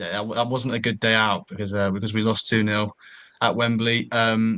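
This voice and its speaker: In a southern English accent, the voice is bright and sharp in tone, fairly quick in pace and monotone with flat intonation, set against a quiet background. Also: man. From North London, England. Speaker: football podcast panellist. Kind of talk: casual chat.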